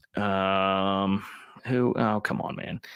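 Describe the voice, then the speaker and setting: A man with a fairly low pitch and a bright, sharp tone is captured on a very clean recording with a silent background. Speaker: college football show host. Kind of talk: live-stream commentary. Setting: live stream with chat.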